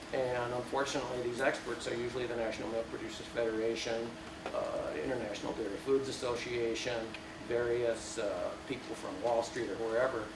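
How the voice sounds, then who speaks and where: With noticeable background noise and audible room echo, a man speaks at a fairly quick pace. His pitch is medium and his intonation fairly even. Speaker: organic dairy farmer. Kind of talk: panel talk. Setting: panel with audience. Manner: hesitant, many fillers.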